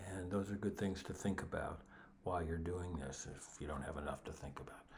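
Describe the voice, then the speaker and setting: A man with a very deep, low pitch talks at a fairly quick pace and a fairly even intonation, with audible room echo and noticeable background noise. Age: 70s. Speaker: guitar teacher. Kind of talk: tutorial. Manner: halting.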